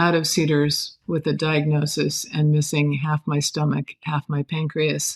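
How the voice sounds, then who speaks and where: A woman with an American accent speaks fairly slowly in a very deep, low pitch. Her somewhat breathy delivery has monotone, flat intonation. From US Pacific Northwest, Oregon. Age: 70s. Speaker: actress and cancer survivor. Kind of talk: interview testimony.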